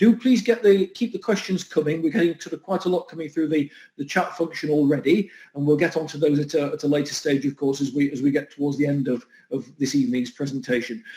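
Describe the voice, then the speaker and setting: A very fast Yorkshire accent with a dark, mellow tone and very wide pitch swings. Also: man. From Huddersfield, northern England. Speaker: event host. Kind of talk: event moderation.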